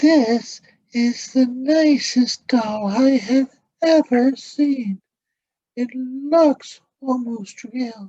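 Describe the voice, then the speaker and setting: This is a put-on character voice at a fairly high pitch. It moves at a very slow pace. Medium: read story.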